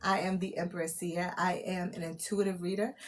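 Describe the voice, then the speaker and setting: A woman talks with an American accent. Her voice is somewhat breathy. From New York (Brooklyn). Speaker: tarot reader and livestreamer. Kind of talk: live channeled reading stream. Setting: livestream. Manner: casual.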